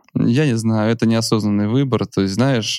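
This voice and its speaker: A man's fairly low, fairly quick delivery with fairly even intonation, a normal speaking voice. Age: 30s. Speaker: entrepreneur and podcast host. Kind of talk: interview.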